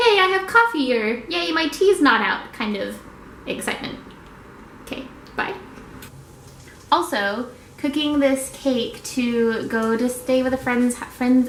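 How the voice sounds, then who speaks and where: Long, frequent pauses break up a woman's high, lively speech with an American accent, heard with audible room echo and noticeable background noise. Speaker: vlogger. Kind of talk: casual vlog talk. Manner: fast; animated.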